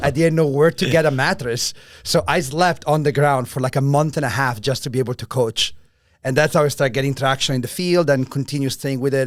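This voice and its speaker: In an Italian accent, a man talks at a very fast pace. His pitch is fairly high, with ordinary pitch variation. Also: very clean recording, silent background. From Italy. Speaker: strength and conditioning coach. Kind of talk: interview.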